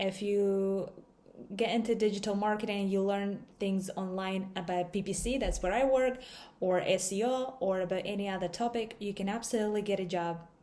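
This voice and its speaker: A woman with a non-native accent talks at a moderate pace in a medium pitch, her tone dark and mellow, with ordinary pitch variation. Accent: foreign accent, noticeable. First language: not English. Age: 20s. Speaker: digital marketer, vlogger. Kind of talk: casual vlog talk.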